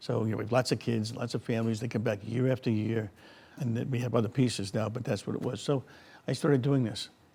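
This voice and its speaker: A man with an American accent, somewhat breathy and very fast, with fairly even intonation on a very clean recording against a silent background. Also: medium pitch for a man. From US Northeast. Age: 70s. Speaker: resort owner. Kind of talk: interview.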